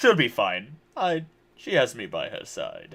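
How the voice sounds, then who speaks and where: A man uses a put-on character voice. He speaks at a fairly slow pace. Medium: actual play. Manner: formal, measured.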